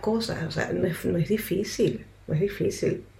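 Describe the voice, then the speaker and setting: With noticeable background noise and audible room echo, a woman speaks at a medium pitch with ordinary pitch variation. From Ecuador, Quito. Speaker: interpreter and counselor. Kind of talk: radio interview.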